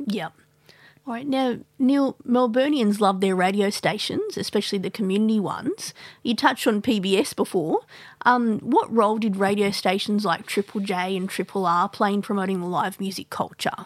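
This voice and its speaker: A woman speaks at medium pitch in an Australian accent. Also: ordinary pitch variation, moderate pace. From Sydney, Australia. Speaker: podcast host. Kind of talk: interview; scripted narration. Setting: studio.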